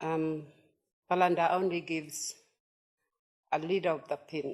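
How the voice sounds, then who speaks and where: A woman speaks with a northern Australian accent at a moderate pace. Her voice is fairly low in pitch and her intonation is monotone and flat. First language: Yolngu language. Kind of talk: conference presentation. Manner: halting.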